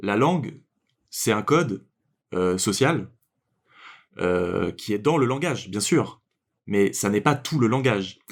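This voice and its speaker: On a very clean recording with a silent background, a man speaks very slowly, with long, frequent pauses and very wide pitch swings. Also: medium pitch for a man. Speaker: podcast co-host. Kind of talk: casual podcast discussion. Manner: hesitant, many fillers.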